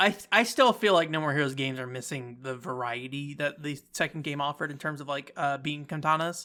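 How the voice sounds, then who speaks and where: Very fast speech from a man, fairly high-pitched, with a bright, sharp tone on a very clean recording against a silent background. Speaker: game reviewer. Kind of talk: casual commentary.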